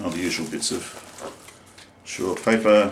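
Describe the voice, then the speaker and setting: A man speaks with an Australian accent, and audible room echo surrounds his voice. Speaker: singer-songwriter. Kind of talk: product review. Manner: casual, hesitant with fillers.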